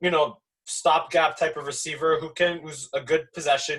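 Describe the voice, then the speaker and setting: This man speaks with a Montreal accent. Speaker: sports talk show host. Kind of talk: casual sports talk. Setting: live online show.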